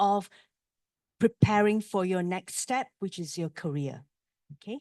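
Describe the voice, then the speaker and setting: A woman speaks with ordinary pitch variation. Her sound is dry and close with no echo over a quiet background. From Malaysia. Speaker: university business school representative. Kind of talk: presentation to students. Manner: hesitant with fillers.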